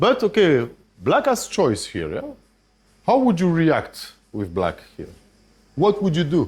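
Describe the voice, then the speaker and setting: A man with a French accent speaks high and fairly slowly, with very wide pitch swings and long, frequent pauses. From France. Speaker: chess grandmaster and trainer. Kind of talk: masterclass lecture with audience interaction. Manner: hesitant, with restarts.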